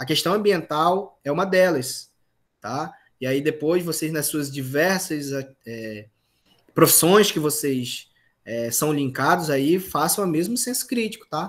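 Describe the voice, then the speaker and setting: A man with a plain, everyday voice, fairly high in pitch, with lively intonation at a fairly slow pace. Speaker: university lecturer. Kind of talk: online lecture.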